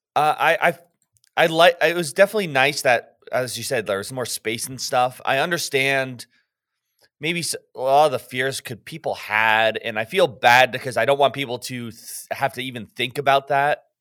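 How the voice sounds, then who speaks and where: Medium in pitch, a man speaks at a moderate pace in a bright, sharp tone. His loudness swings widely while pitch varies in an ordinary way, in a dry, close sound with no echo on a very clean recording with a silent background. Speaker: tabletop gaming podcast co-host. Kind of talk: casual chat.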